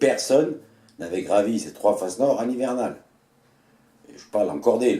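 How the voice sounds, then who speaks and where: With a dark, mellow tone, a man speaks at a moderate pace and lively intonation. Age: 60s. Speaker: retired mountain guide. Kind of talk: personal storytelling. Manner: hesitant with fillers.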